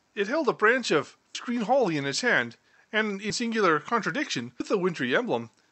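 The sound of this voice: The speaker uses an unforced reading voice with lively intonation.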